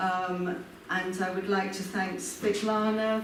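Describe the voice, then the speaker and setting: A woman with a British accent speaks at a very slow pace in a medium pitch. Audible room echo and noticeable background noise fill the recording. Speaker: urban design professor. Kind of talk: lecture. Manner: slow, clear.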